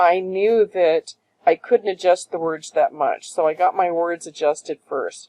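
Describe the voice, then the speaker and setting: Speaking at a fairly slow pace, a woman with a medium-pitched, dark, mellow tone shows ordinary pitch variation. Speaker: online design tutorial creator. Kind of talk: tutorial. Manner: casual, thinking aloud.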